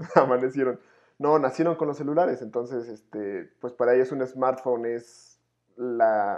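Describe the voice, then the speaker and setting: A man's plain, everyday voice at medium pitch, fairly slow, with fairly even intonation. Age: 20s. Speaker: podcast co-host. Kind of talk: casual chat.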